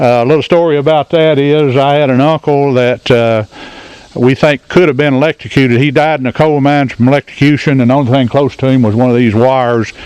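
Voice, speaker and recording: With an Appalachian accent, a man talks at a fairly quick pace in a medium pitch, keeping fairly even intonation and very even loudness. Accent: Appalachian Southern US. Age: 70s. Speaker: retired coal miner. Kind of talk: guided tour talk. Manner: hesitant, folksy.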